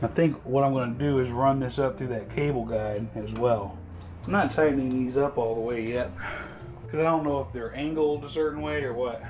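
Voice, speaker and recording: A man talks at a fairly quick pace with lively intonation and a medium pitch. Music plays in the background. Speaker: motorcycle hobbyist. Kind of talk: casual working commentary.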